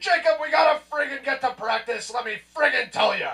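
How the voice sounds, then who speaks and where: A put-on character voice, raised and projected, growls at a high pitch. It moves at a fairly quick pace. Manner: gruff, blunt, bossy.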